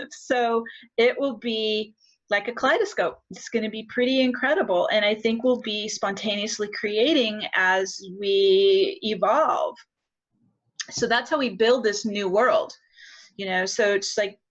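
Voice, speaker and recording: A woman speaks fairly slowly in an unremarkable speaking voice, her pitch fairly high with ordinary variation. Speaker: spiritual teacher. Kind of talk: Q&A answer in live spiritual workshop. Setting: live group session with online participants.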